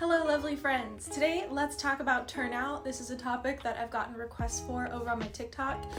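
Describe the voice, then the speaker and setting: There is music in the background and audible room echo. A woman talks at a fairly quick pace with hardly any pauses. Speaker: dance teacher and content creator. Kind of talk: tutorial. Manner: casual and chatty.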